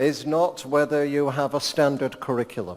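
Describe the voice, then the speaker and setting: Fairly high in pitch, this man speaks with an English accent. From England. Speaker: education professor. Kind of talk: keynote lecture. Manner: slower than usual.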